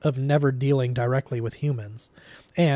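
The speaker is reading aloud in a natural voice with fairly even intonation.

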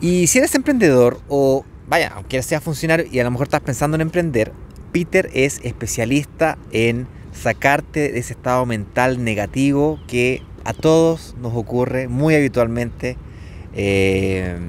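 The speaker has a Chilean accent, lively intonation and a fairly slow pace. The sound is dry with no echo, over light background noise. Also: man. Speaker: entrepreneur video host. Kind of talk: casual interview. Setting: outdoors in a park. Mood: relaxed, friendly. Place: open country. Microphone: lapel.

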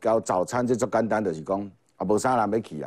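A man's fairly low voice with lively intonation against a quiet background. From Taiwan. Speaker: political commentator. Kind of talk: TV political talk show commentary. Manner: animated, mocking. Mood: mocking, critical. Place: studio. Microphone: lapel.

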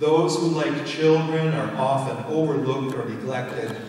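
A man speaks at a fairly slow pace in a room with strong echo and light background noise. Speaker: minister preaching. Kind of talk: sermon.

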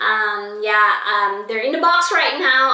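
A woman speaks at a fairly slow pace with ordinary pitch variation, and audible room echo surrounds her voice. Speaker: haul vlogger. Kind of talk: casual vlog chat. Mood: upbeat, enthusiastic. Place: home room. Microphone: camera far.

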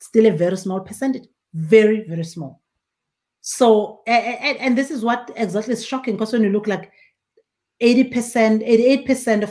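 The voice is somewhat breathy, moving at a moderate pace with ordinary pitch variation against a quiet background. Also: woman. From rural South Africa. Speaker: winemaker and winery owner; guest. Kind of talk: casual interview. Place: home room.

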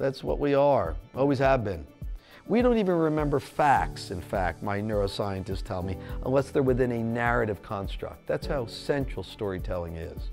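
The speaker keeps a moderate pace while faint music plays in the background. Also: man. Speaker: visiting journalist. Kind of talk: interview answer. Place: studio. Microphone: lapel.

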